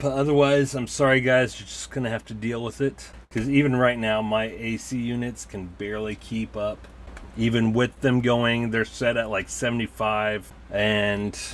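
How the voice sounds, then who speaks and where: Over light background noise, a man speaks at a fairly slow pace with fairly even intonation. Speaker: toy collector reviewer. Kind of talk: casual review chat. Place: home room. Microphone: camera far.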